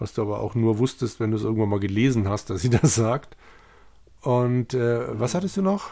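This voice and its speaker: On a very clean recording with a silent background, a man speaks at a moderate pace. His medium-pitched voice has a dark, mellow tone and ordinary pitch variation. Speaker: podcast co-host, bookseller. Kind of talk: casual chat.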